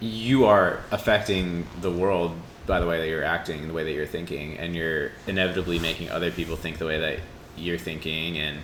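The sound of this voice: A man's low-pitched, fairly bright voice at a fairly quick pace, with little pitch movement and few pauses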